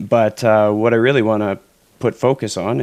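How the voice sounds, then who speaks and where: The man has an ordinary speaking voice, fairly low in pitch. He keeps a moderate pace and fairly even intonation. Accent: Canadian. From Canada. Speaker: podcast host. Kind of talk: interview podcast.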